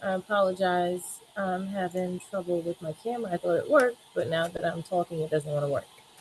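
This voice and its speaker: Her voice, a woman's, rests at a medium pitch and shifts in an ordinary way. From New York City, Brooklyn. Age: 20s. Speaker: paralegal testifying at hearing. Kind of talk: testimony.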